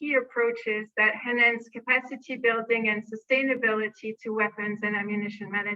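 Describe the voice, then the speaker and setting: Speaking at a moderate pace, a woman holds a fairly high pitch in a monotone, flat intonation. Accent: non-native. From France. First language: French. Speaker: arms control program manager. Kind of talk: conference presentation.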